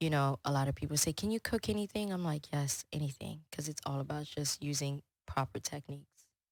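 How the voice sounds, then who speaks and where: A woman speaks with a very deep, low pitch at a fairly quick pace, with hardly any pauses and ordinary pitch variation. The sound is dry and close with no echo. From Congo, then Houston from age 12. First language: French. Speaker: chef and business owner. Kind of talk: podcast interview. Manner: casual, many fillers.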